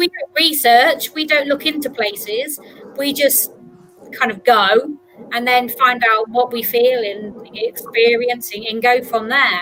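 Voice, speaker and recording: A woman speaks at a high pitch and a fairly slow pace. Noticeable background noise can be heard. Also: ordinary pitch variation. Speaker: podcast host. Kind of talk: casual talk show hosting.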